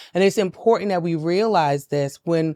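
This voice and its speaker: With a New York accent, a woman talks at a fairly quick pace, her medium pitch showing ordinary variation. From New York City (Brownsville, Brooklyn). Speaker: mental health advocate and business founder. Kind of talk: podcast interview.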